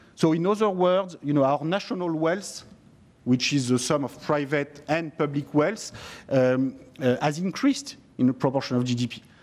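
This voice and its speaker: Speaking at a moderate pace, a man with a French accent uses a fairly high pitch. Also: ordinary pitch variation. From France. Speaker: economist and author. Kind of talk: parliamentary committee discussion. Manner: hesitant, many fillers.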